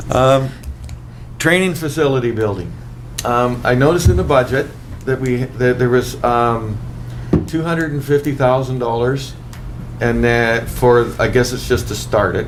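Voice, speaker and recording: A man at medium pitch and a moderate pace, ordinary pitch variation, long, frequent pauses, audible room echo and noticeable background noise. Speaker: city councillor. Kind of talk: council meeting questions. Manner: halting.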